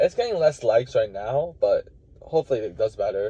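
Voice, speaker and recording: A man talks at a fairly quick pace. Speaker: college wrestler and fitness vlogger. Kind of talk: casual vlog talk. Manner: fast.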